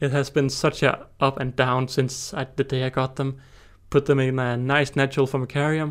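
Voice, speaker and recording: A man speaks in a Danish accent at a medium pitch. His intonation is monotone and flat. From Denmark. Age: 20s. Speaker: ant-keeper and YouTuber. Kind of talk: casual solo monologue. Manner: fast.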